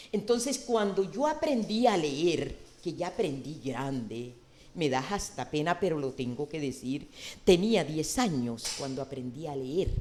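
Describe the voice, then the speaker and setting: Her tone is dark and mellow, with lively intonation. The woman speaks at a fairly slow pace. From Colombian Caribbean coast (Sucre region). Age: 70s. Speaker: social leader and senator. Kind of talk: TV interview.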